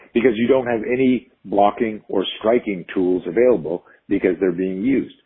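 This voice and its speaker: His pace is moderate and his pitch fairly low. The man's pitch varies in an ordinary way. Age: 50s. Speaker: self-defense trainer. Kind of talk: interview. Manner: animated.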